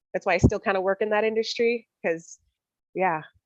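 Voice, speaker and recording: A woman speaks loudly in an American accent. The sound is dry and close, with no echo. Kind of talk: roundtable discussion.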